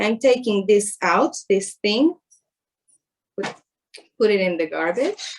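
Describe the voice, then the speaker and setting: This woman talks with a fairly high pitch, lively intonation and an Israeli accent. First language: Hebrew. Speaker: chef. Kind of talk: tutorial. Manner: halting.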